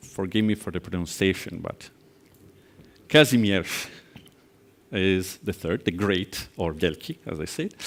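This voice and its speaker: Speaking with an Italian accent, a man uses a very deep, low pitch and ordinary pitch variation at a fairly slow pace, with long, frequent pauses. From Italy, near Venice. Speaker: angel investor and conference speaker. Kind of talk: conference keynote.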